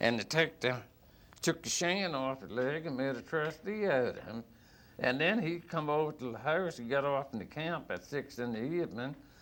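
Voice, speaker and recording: At a moderate pace, a man with a Virginia accent speaks in a fairly high voice with ordinary pitch variation, on a very clean recording with a silent background. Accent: rural Southern US (Virginia). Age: 60s. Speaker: blues musician. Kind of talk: storytelling interview.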